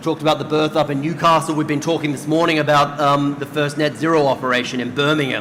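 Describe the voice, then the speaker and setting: A man speaks very fast in an Australian accent. Noticeable background noise and audible room echo fill the recording. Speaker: doctor and health system leader on a panel. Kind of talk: conference panel discussion. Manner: animated.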